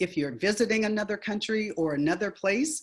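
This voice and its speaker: Over a quiet background, a woman with an ordinary speaking voice uses lively intonation at a medium pitch and moderate pace. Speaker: education speaker and author. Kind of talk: webinar presentation.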